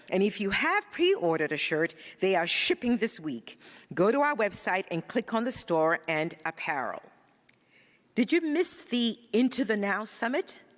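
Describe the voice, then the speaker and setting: A woman with a Ghanaian accent speaks at a fairly high pitch and a moderate pace, with very wide pitch swings. The sound is dry and close, with no echo. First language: Ga. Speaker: spiritual practitioner, church announcer. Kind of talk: church announcements; greeting to congregation.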